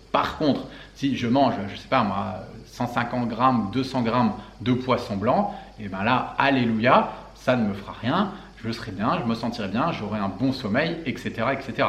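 Speaking at a very slow pace with lively intonation, a man of medium pitch is heard with audible room echo and noticeable background noise. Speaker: health and fitness coach. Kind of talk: Q&A video monologue. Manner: casual, halting with fillers.

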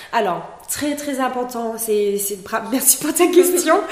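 A woman speaks with audible echo in the room. Noticeable noise sits in the background. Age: 30s. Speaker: entrepreneur, founder of a natural cosmetics brand. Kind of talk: interview. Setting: in the mountains with the host.

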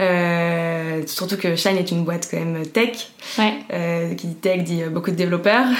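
Over noticeable background noise and audible room echo, a woman speaks fairly slowly, her fairly low pitch carried on fairly even intonation. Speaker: HR manager at a startup. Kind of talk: interview.

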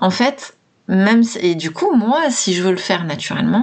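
A woman of medium pitch talks at a fairly slow pace. Her pitch swings very widely. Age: 40s. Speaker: mindset coach and podcaster. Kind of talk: solo podcast talk.

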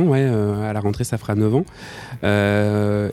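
A man's fairly low voice with fairly even intonation, music playing in the background. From Nantes, western France. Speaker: DJ and collective co-founder. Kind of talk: casual interview chat. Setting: at his home. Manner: hesitant, many repetitions.

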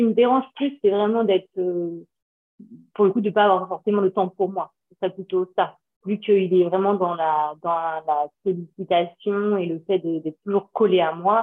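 A woman of medium pitch speaks at a fairly slow pace, her intonation fairly even but her loudness swinging widely. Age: 30s. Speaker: mother seeking parenting coaching. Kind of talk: casual chat. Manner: halting.

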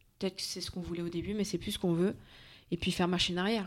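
A woman's medium-pitched, very fast speech with fairly even intonation, on a very clean recording with a silent background. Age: 30s. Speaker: fitness coach and entrepreneur. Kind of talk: interview.

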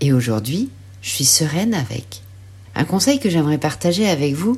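A woman with a dark, mellow, somewhat breathy tone speaks fairly slowly in a very deep, low voice, her pitch swinging very widely. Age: 40s. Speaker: life coach and mother. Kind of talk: scripted personal narration.

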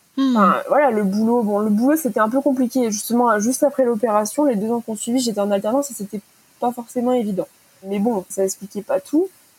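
There is noticeable background noise as a woman talks fairly quickly. Her voice is fairly high, with ordinary pitch variation. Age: 20s. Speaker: property manager sharing eating disorder story. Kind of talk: personal testimony.

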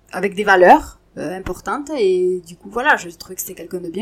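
A woman speaks at a fairly low pitch with ordinary pitch variation. Her pace is moderate over noticeable background noise. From southwest France, Montauban. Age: 40s. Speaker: partner of a rugby player. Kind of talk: interview. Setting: at home.

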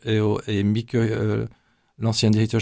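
Speaking fairly slowly, a man uses a medium pitch. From Brussels, Belgium (Flemish parents). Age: 60s. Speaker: church pastoral coordinator. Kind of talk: radio interview. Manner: halting, frequent hesitations.

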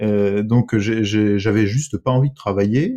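A man with an ordinary speaking voice speaks at a fairly low pitch. He goes at a fairly slow pace. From France, moved around, Bordeaux from 15. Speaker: dentist. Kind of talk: casual interview.

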